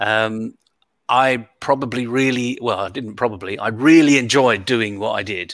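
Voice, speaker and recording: A man with a British accent speaks at a medium pitch in a bright, sharp tone, on a very clean recording with a silent background. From United Kingdom. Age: 60s. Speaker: leadership coach and keynote speaker. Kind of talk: interview.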